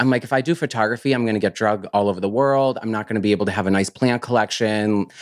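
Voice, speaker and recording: A man with an American accent talks very fast in a fairly low voice, with hardly any pauses. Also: ordinary pitch variation. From US countryside. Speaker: plant grower and business owner. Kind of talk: casual interview.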